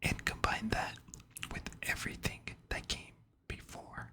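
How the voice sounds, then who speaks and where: Someone whispers at a fairly slow pace. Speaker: ASMR content creator. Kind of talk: ASMR whisper narration for sleep, controller history. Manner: whispered, soft.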